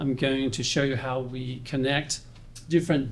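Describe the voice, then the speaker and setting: A somewhat breathy man's voice at a medium pitch, with a New Zealand accent and audible room echo. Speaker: industry presenter. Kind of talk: conference presentation. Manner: halting, many fillers.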